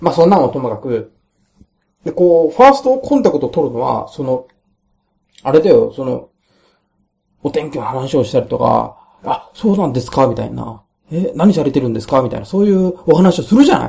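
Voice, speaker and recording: Moving at a fairly quick pace between long, frequent pauses, a man speaks with vocal fry and very wide pitch swings. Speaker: solo podcaster. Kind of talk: casual monologue. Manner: halting, many fillers.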